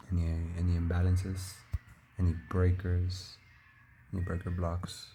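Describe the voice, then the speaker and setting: A man with a Spanish accent and a very deep, low pitch, in a monotone, flat intonation at a moderate pace, with audible room echo and music in the background. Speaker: futures trader. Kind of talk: screen-share market recap tutorial. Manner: casual, halting.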